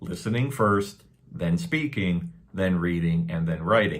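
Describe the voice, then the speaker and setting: A man with a Canadian accent at a moderate pace, pitch swinging very widely, with audible room echo. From Canada. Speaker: English teacher. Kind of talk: tutorial. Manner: casual, repetitive with fillers.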